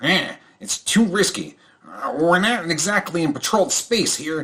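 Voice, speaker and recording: A man uses a put-on character voice. His pitch is high. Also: moderate pace. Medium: actual play.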